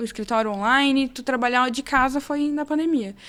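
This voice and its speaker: A woman with a high pitch keeps her intonation fairly even and her pace moderate. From interior of São Paulo state, Brazil (Fernandópolis). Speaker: lawyer and entrepreneur. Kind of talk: podcast interview.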